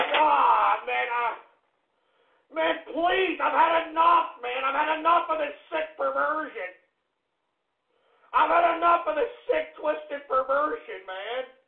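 A man speaks at a very slow pace. His delivery is broken by long, frequent pauses. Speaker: internet radio show host. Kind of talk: live call-in radio rant. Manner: low-energy, distant; exasperated shouting.

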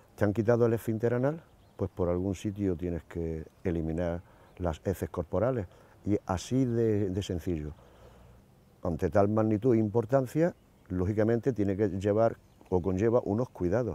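With long, frequent pauses and a moderate pace, a man speaks in a fairly low, dark, mellow voice with ordinary pitch variation, the sound dry with no echo. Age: 60s. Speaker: ostomy patient. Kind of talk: testimony. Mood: calm, matter-of-fact.

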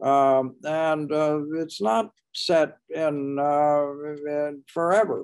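Very slow speech with ordinary pitch variation over a quiet background. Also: man, fairly high pitch for a man. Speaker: historian and author; guest. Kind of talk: panel discussion. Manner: halting. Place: home room. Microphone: video call.

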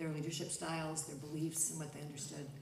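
A woman's very deep, low voice, with audible room echo and light background noise. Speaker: panelist. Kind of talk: panel discussion answer. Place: stage.

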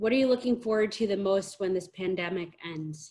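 The background is quiet. A woman speaks with ordinary pitch variation. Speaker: interviewer. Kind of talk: interview questions. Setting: video call. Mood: warm, friendly. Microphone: video call.

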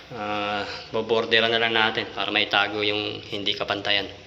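A man's fairly low, monotone voice with flat intonation, over noticeable background noise. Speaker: home DIY vlogger. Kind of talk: casual vlog narration. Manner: casual, chatty.

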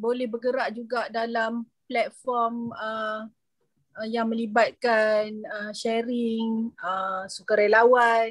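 A woman speaks at a very slow pace with fairly even intonation. The background is quiet and the sound dry, with no echo. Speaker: university lecturer. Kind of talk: video meeting discussion. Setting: video call. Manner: halting. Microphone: video call.

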